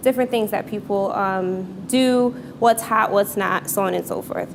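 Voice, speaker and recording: A woman's medium-pitched voice with ordinary pitch variation, set against noticeable background noise. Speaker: storyteller at live event. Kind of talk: live storytelling. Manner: fast when excited.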